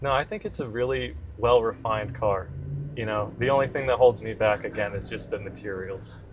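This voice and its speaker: A normal speaking voice moves along at a fairly quick pace. Its pitch varies in an ordinary way. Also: man, fairly low pitch for a man. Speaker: car reviewer. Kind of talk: casual chat.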